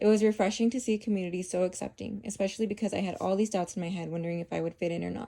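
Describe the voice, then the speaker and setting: Very fast delivery pairs fairly even intonation with a dark, mellow tone. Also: woman. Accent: American. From Tucson, Arizona, US Southwest. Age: 20s. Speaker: college student. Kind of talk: scripted narration.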